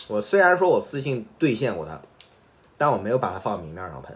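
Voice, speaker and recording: At a fairly quick pace and medium pitch, a man talks with very wide pitch swings, big swings in loudness, and long, frequent pauses. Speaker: gaming youtuber. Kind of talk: apology video monologue. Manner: unscripted, with slips. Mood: defensive, earnest. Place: home room. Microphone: phone near.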